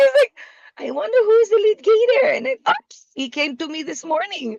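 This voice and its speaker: Recorded dry and close with no echo, a woman with an Israeli accent speaks at an extremely high pitch, with very wide pitch swings and big swings in loudness. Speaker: business development partner. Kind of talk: business video call. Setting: video call.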